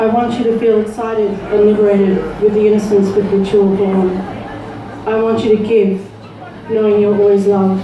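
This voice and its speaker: Speaking at a fairly quick pace with long, frequent pauses, a woman keeps a medium pitch, very even loudness, and a monotone, flat intonation over noticeable background noise. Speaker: spoken word poet. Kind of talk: poetry reading. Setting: live open mic venue.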